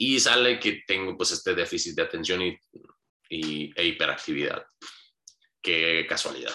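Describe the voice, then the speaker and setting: Long pauses come often as a man talks fairly slowly. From Hermosillo, Sonora, Mexico. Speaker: podcast guest telling life story. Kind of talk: casual interview.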